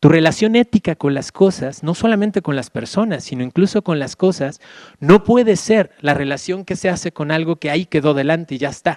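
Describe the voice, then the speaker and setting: Speaking at a fairly quick pace, a man with a high pitch and ordinary pitch variation is heard in a dry, close sound with no echo on a very clean recording with a silent background. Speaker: Jesuit philosophy professor. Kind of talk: lecture. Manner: fast.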